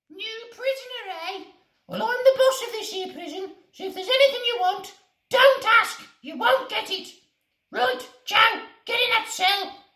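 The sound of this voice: In a put-on character voice with extremely high pitch, the speaker leaves long, frequent pauses, and a slight echo can be heard. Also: moderate pace.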